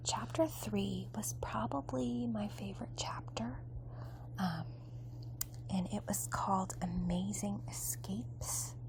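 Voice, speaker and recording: A soft-spoken woman with a very deep, low pitch, a relaxed tone, and ordinary pitch variation. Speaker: ASMR creator. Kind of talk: ASMR magazine review. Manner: soft-spoken, relaxed.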